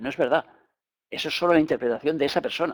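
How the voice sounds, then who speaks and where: A man with a Spanish accent speaks at a very fast pace. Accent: Peninsular Spanish. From Spain. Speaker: spiritual teacher. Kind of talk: lecture.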